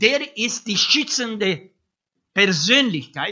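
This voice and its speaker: The speaker has a non-native accent. The delivery is very slow. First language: not German (speaking German). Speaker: preacher. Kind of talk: sermon. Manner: hesitant, many fillers.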